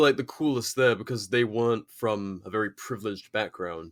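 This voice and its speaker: A man with an English accent at a moderate pace, with ordinary pitch variation, in a very clean recording with a silent background. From England. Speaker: British Army veteran. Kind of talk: casual interview chat.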